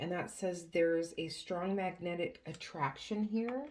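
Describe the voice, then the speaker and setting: A quiet woman at a very slow pace. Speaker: tarot reader. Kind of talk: tarot reading. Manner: quiet, straining to be loud; hesitant, many fillers.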